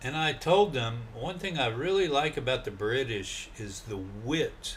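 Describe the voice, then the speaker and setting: Speaking with an American accent, a man uses medium pitch with very wide swings. Audible room echo surrounds his voice. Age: 60s. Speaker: travel vlogger. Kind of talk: casual monologue.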